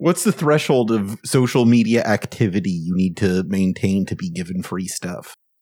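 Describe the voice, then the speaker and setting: Heard on a very clean recording with a silent background, the voice has a dark, mellow tone, moving at a moderate pace with ordinary pitch variation and hardly any pauses. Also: man, fairly low pitch for a man. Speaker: podcast host. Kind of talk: casual panel podcast banter.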